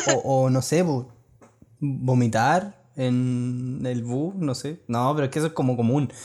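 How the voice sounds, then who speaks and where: With a Chilean accent, the speaker has a dark, mellow tone, a very slow pace and ordinary pitch variation. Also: man, medium pitch for a man. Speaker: podcast co-host. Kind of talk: casual chat.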